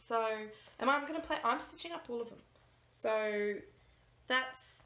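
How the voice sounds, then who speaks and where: Speaking with an Australian accent, a woman has a high-pitched, bright, sharp tone and ordinary pitch variation. Her loudness swings widely, and room echo is audible. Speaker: cross-stitch vlogger. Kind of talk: casual vlog chat. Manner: fast; animated.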